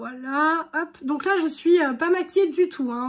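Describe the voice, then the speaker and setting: On a very clean recording with a silent background, a woman speaks with a high pitch. Her pace is fairly slow and her pitch variation is ordinary. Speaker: beauty vlogger. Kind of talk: makeup tutorial. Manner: casual, filler-heavy.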